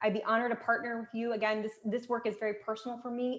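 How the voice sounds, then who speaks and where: Noticeable background noise fills the recording. A woman's fairly high-pitched voice comes through it. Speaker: executive coach. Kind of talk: workshop presentation. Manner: fast; warm and encouraging.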